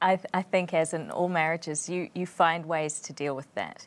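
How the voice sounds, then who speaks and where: In a New Zealand accent, a woman with a fairly low pitch talks at a fairly quick pace with fairly even intonation. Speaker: physician and missionary. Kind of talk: interview.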